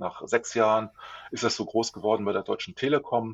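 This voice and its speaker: A man speaks at a medium pitch in an unremarkable speaking voice. His pace is fairly quick. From Lower Saxony, Germany. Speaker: communications consultant. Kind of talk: interview.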